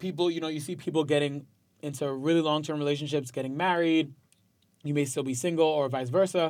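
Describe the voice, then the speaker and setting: In a New York accent, a man speaks at a fairly high pitch with ordinary pitch variation, on a very clean recording with a silent background. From New York, Westchester County. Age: 20s. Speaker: musician and social media personality. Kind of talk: casual interview chat.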